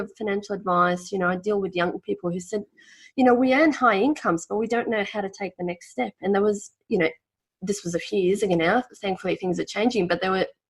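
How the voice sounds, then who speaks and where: Speaking very fast with an Australian accent, a woman holds a medium pitch with ordinary pitch variation. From former Yugoslavia. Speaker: financial planner. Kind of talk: podcast interview.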